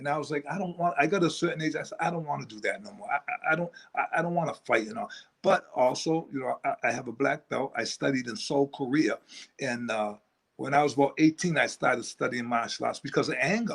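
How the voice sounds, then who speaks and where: Speaking at a very fast pace, a man uses a fairly high pitch. His intonation is lively and his loudness swings widely. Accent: American. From New England, US (New Bedford, Massachusetts). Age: 60s. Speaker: motivational speaker. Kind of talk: interview.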